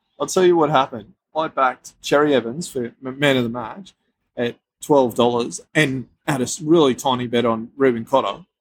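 Speaking at a moderate pace, a man with an Australian accent has a medium pitch and ordinary pitch variation. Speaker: sports betting podcast host. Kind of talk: casual chat.

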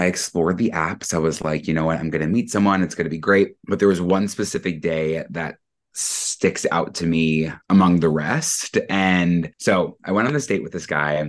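With an American accent, a man speaks at a moderate pace in a very deep, low pitch, with fairly even intonation and hardly any pauses. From Long Island, New York. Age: 20s. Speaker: podcast cohost. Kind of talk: casual interview storytelling.

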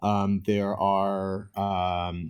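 A man with a fairly low pitch speaks in an enthusiastic tone. The recording is very clean, with a silent background. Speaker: interpreter and entrepreneur. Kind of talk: interview. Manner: filler-heavy, enthusiastic.

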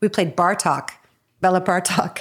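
The background is silent on this very clean recording. Her voice sits at a medium pitch. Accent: Chicago-area. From Evanston, Illinois, US Midwest. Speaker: comedy writer and actress. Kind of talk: casual chat.

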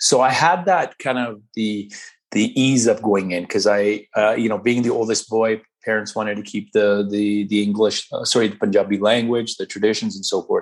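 A man with a Canadian accent, a normal speaking voice, fairly low in pitch, at a moderate pace against a quiet background. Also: fairly even intonation. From Canada, small-town British Columbia. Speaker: hockey community organizer. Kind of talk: interview.

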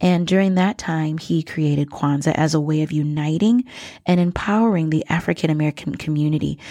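The recording is very clean with a silent background as a woman with a very deep, low, dark and mellow voice talks at a fairly quick pace with very even loudness. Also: ordinary pitch variation. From Minnesota (born in Liberia). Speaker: educator and podcast host. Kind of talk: educational monologue. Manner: frequent fillers (um, uh).

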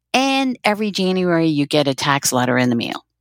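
With a Dutch accent, a woman makes very wide pitch swings in a dry, close sound with no echo, over a very clean recording with a silent background. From southern Netherlands, near German border. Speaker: fundraising consultant. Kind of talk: podcast interview.

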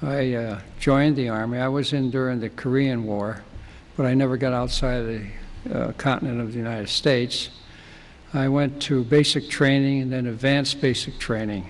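Audible room echo around fairly even intonation, the pace moderate. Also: man, medium pitch for a man. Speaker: retired steel company chairman. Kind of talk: oral history storytelling. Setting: studio.

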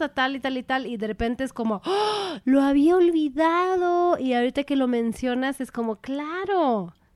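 A woman's high voice at a moderate pace, very wide pitch swings and hardly any pauses, dry and close with no echo. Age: 30s. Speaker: podcast co-host. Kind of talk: casual chat.

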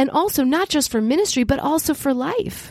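A woman with a high pitch talks at a moderate pace, the sound dry and close with no echo. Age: 50s. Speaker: podcast host and ministry leader. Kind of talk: solo podcast teaching monologue.

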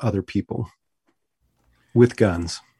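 An unremarkable speaking voice with an American accent moves at a moderate pace, recorded dry and close with no echo against a quiet background. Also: man. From US West Coast, San Francisco Bay Area. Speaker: sociology professor. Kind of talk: podcast interview.

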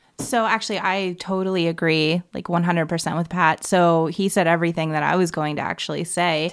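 The recording is very clean, with a silent background. It features a normal speaking voice at a fairly quick pace. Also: woman, fairly low pitch for a woman, fairly even intonation, hardly any pauses. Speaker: panelist. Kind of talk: casual chat.

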